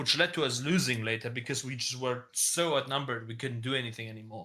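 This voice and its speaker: Speaking very fast, a man uses a bright, sharp tone with ordinary pitch variation. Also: medium pitch for a man, very clean recording, silent background. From Germany. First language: German. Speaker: online game community leader. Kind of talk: interview. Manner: casual, hesitant with fillers.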